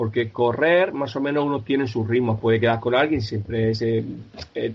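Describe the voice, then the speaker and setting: Man, medium pitch, ordinary pitch variation, moderate pace, an ordinary speaking voice. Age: 50s. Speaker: para-triathlete, pharmacy sales rep. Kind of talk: interview.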